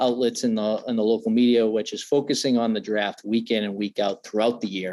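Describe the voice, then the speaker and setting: With a Boston accent, a man speaks at a fairly quick pace in a monotone, flat intonation. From Massachusetts, near Foxborough. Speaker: NFL draft analyst. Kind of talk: podcast interview. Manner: many fillers and repetitions.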